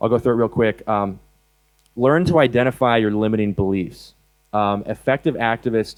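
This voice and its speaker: Speaking with an American accent, this man's voice sits fairly low, and his pitch moves in an ordinary way. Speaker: animal rights activist speaker. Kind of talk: conference talk. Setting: stage with audience. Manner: fast; hesitant, many fillers.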